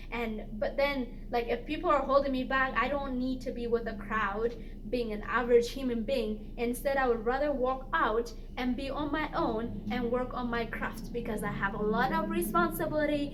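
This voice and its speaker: A moderate pace, ordinary pitch variation, audible room echo and noticeable background noise. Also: woman, high pitch for a woman. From immigrant, grew up partly in refugee camps. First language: not English (English is third language). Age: 20s. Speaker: lifestyle vlogger. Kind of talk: casual vlog monologue. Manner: animated, with frequent repetitions and fillers.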